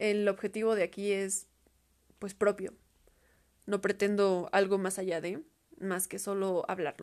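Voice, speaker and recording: Her pace is fairly slow, with long, frequent pauses. The woman speaks at a medium pitch with monotone, flat intonation. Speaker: podcaster. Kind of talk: casual solo monologue.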